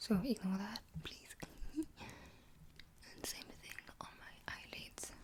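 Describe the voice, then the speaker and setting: Whispering at a very slow pace, with long, frequent pauses and big swings in loudness. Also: woman. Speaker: ASMR creator. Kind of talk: ASMR makeup tutorial. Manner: soft-spoken.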